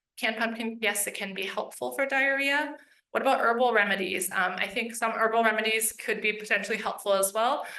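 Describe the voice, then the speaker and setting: At a fairly quick pace, a woman talks with a fairly high pitch and a bright, sharp tone. Audible room echo can be heard. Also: fairly even intonation. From US East Coast. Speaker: veterinarian instructor. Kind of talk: Q&A at public lecture. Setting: room with live audience and webinar. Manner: fast.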